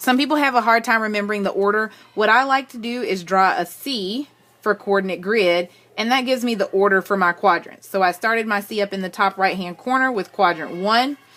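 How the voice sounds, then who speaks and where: This woman has a normal speaking voice at a medium pitch. She talks at a fairly quick pace with ordinary pitch variation. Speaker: math teacher. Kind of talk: tutorial. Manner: casual with frequent fillers.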